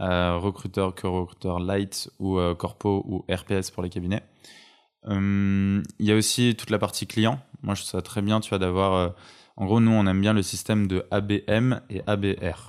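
The speaker talks at a fairly slow pace with monotone, flat intonation. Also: man, fairly low pitch for a man, very clean recording, silent background. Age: 20s. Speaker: recruitment entrepreneur. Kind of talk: interview conversation. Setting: home.

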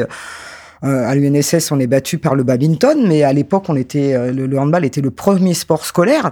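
A man talks at a moderate pace, his pitch fairly high. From France, Paris suburbs (Créteil). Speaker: sports sociologist and former handball player. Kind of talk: interview. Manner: halting, many repetitions and fillers.

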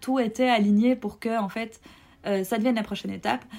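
Ordinary pitch variation from a woman. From Belgium. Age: 30s. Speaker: podcast guest sharing personal story. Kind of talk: personal testimony. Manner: hesitant, many fillers.

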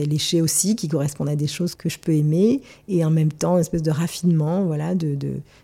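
Fairly even in intonation, this somewhat breathy voice has a dark, mellow tone. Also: woman, very clean recording, silent background. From Marseille, southern France. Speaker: gallery founder and former fashion stylist. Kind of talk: interview. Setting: her apartment. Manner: hesitant, many fillers and repetitions.

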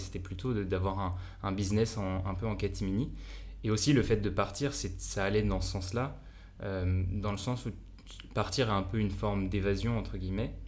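In a room with audible echo, a man speaks at a fairly low pitch with vocal fry. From France. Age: 20s. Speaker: entrepreneur. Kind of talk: casual chat.

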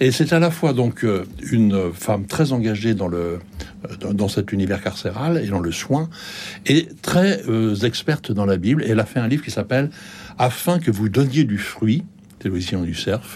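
Lively intonation from a man at medium pitch, fairly slow in pace, with long, frequent pauses. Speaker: bookseller. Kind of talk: radio discussion. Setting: radio studio. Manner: halting, hesitant.

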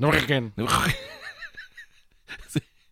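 A man puts on a raspy character voice and speaks at a very slow pace. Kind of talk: English phrase said with a French-Belgian accent.

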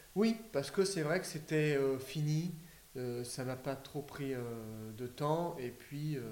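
A man speaks very slowly at a fairly high pitch with ordinary pitch variation. Audible room echo and noticeable background noise accompany him. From Paris region, France. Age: 30s. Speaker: DIY renovator, interior design agency co-founder. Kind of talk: casual interview. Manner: halting, repeats words.

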